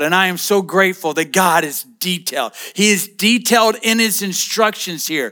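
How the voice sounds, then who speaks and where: A man with a high pitch and a bright, sharp tone speaks in a raised, projected voice with ordinary pitch variation and hardly any pauses. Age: 50s. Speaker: pastor. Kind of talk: sermon.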